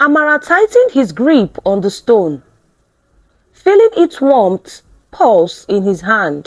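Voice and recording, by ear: Her pitch fairly high and swinging very widely, a woman talks at a slow pace.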